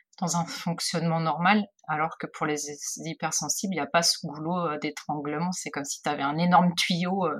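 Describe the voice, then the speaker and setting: Somewhat breathy, a woman talks in a fairly low voice. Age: 40s. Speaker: photographer. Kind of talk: interview. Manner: halting.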